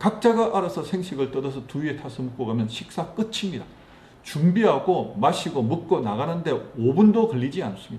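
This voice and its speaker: A man's high-pitched voice with lively intonation and a Gyeongsang accent. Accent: Gyeongsang dialect, noticeable. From Gyeongsang province, South Korea. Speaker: network marketing distributor, book reviewer. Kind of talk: book summary and talk, reading aloud.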